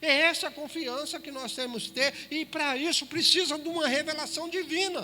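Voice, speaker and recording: A man talks in a raised, projected voice at an extremely high pitch, his tone bright and sharp. The pace is moderate, with audible room echo. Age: 60s. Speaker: preacher. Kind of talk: sermon. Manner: emphatic, addresses listeners directly.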